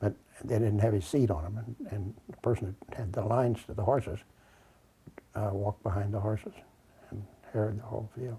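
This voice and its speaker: A man speaks in a fairly low, somewhat breathy voice with a dark, mellow tone and fairly even intonation. His pace is fairly quick, broken by long, frequent pauses. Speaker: grandfather interviewed about family memories. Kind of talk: oral history interview. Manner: halting.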